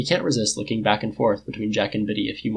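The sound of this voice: Unforced reading voice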